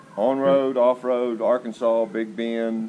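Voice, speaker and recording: An unremarkable speaking voice moves along at a fairly slow pace. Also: man. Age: 60s. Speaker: motorcycle rider. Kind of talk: interview.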